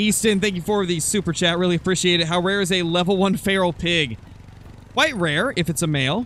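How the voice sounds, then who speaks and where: A man's high-pitched voice, fairly quick in pace, with ordinary pitch variation. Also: very even loudness. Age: 20s. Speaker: gaming streamer. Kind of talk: live gameplay commentary. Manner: loud.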